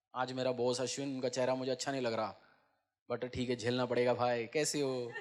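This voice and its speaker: A man talks at a moderate pace and medium pitch. His intonation is monotone and flat, with very even loudness. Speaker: pastor. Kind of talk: church sermon preaching to congregation.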